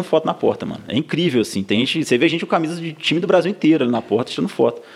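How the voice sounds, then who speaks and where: Talking at a very fast pace, a man uses a high pitch with lively intonation. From Minas Gerais, Brazil (south of Minas, then Ouro Branco). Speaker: football club social media staffer. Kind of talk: casual chat.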